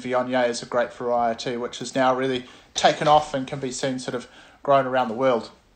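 The man's delivery moves along at a moderate pace. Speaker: presenter. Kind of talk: tasting talk, informal lecture. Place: home room. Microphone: phone near.

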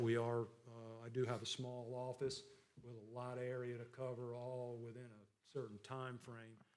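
With a South Carolina accent, a man speaks in a monotone, flat intonation, his loudness swinging widely amid audible room echo. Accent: Southern American (South Carolina). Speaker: county assessor. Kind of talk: public meeting report. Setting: county council meeting. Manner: hesitant, many fillers.

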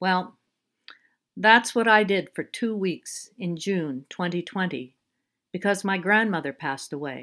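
Bright, sharp tone from a woman at a very slow pace, in a very clean recording with a silent background. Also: medium pitch for a woman, ordinary pitch variation. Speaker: friend reading the English text. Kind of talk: reading aloud.

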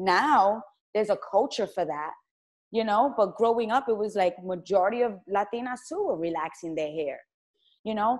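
A woman's medium-pitched voice at a moderate pace, with lively intonation. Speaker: YouTuber and interview host. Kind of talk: casual interview conversation. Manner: animated, excitable.

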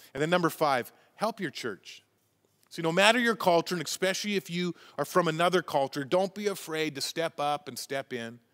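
A man's high-pitched voice with a Western Canadian accent, over a quiet background. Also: ordinary pitch variation, fairly quick pace. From Canada, Chilliwack, British Columbia; British Columbia, Canada. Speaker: pastor. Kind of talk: sermon. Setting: church. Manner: halting. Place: church.

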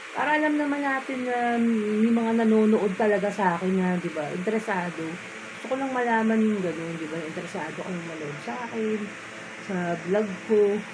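A woman talks at a moderate pace. Noticeable background noise runs beneath her. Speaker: vlogger. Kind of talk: casual vlog chat. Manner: drowsy, heavy-eyed bedtime talk. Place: home room. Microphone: phone near.

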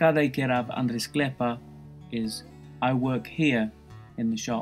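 Music plays in the background as a man with an English accent speaks. His pace is very slow, and his intonation is lively. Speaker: language teacher. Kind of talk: language lesson explanation.

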